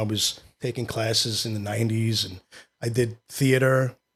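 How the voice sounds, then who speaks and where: With a New York accent, a man talks in a fairly even intonation. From New York City, Queens. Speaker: actor and filmmaker. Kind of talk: casual interview.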